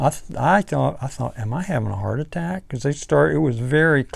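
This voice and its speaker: A man speaks at a moderate pace in a fairly high pitch, his voice swinging very widely up and down. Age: 60s. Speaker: cancer survivor vlogger. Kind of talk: personal testimony. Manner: halting, many restarts; casual, conversational.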